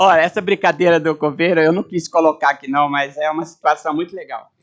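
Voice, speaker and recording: This man has an unremarkable speaking voice, fairly high in pitch, moving at a fairly quick pace with fairly even intonation. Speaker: retired-age university professor and speaker. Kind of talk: informal talk to audience.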